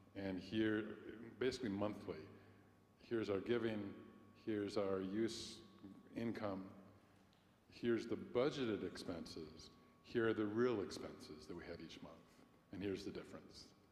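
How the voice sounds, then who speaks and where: Room echo is audible as a man speaks at a fairly low pitch and moderate pace, his pitch varying in an ordinary way. His loudness swings widely, and he takes long, frequent pauses. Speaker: congregation member. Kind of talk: meeting discussion. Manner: projecting.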